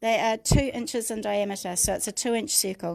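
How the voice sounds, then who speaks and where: A woman with a New Zealand accent talks at a moderate pace with a fairly high pitch. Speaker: craft tutor. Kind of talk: tutorial. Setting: livestream.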